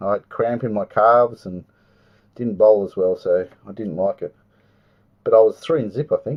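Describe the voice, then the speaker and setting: Fairly quick delivery in an Australian accent. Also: man. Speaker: trading card box break host. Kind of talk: live stream card break commentary. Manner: casual, chatty.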